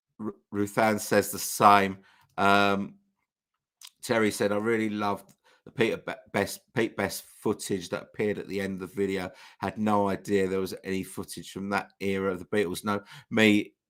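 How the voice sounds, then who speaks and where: In a very clean recording with a silent background, a man with a fairly low pitch talks in a monotone with flat intonation. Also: moderate pace. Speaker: YouTube channel host. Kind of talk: livestream chat reading comments. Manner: hesitant, many false starts.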